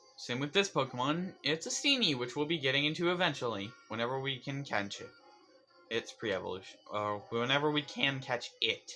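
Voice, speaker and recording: Music plays in the background as a man talks at a fairly quick pace. His pitch is fairly high, with ordinary pitch variation. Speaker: gaming youtuber. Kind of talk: let's play commentary. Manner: fast; energetic.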